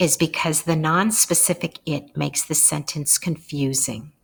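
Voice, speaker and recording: A woman's very deep, low, somewhat breathy voice with ordinary pitch variation at a fairly slow pace. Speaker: instructor. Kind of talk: narrated lecture slides.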